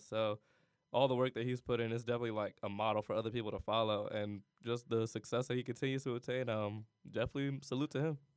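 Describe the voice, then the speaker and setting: Talking at a very fast pace, a man with an American accent keeps a medium pitch and fairly even intonation. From Cleveland, Ohio. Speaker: college student. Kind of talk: casual interview.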